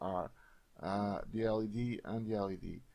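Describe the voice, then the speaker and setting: The speaker is a man with a Portuguese accent. His voice sits fairly low. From Portugal. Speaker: software tutorial creator. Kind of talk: tutorial. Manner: hesitant, many filler sounds.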